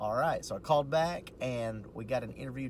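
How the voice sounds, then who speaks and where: Over noticeable background noise, a man speaks at a fairly quick pace. His pitch is medium, with ordinary variation. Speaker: vlogger and postal worker. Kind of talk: casual video diary. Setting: in a parked car. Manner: quiet, hushed.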